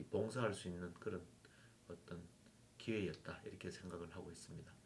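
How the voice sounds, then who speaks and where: This is a man talking. The rise and fall of his pitch is typical. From South Korea, Yeongju (North Gyeongsang). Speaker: former university president. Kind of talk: interview.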